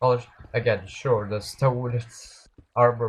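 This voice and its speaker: A man speaks at a moderate pace in a medium pitch. His intonation is monotone and flat, and his voice is somewhat breathy. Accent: non-native. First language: not English. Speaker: gaming streamer. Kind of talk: gameplay live stream commentary. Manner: halting.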